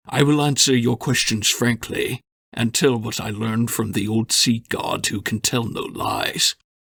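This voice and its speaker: A man puts on a character voice at medium pitch, speaking at a moderate pace with fairly even intonation in a dry, close sound with no echo. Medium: read story. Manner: frank, measured.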